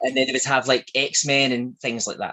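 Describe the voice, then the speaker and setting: A man is speaking. He has a strong Glaswegian accent. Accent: thick Glaswegian. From Scotland, Glasgow. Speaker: shop owner. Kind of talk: interview.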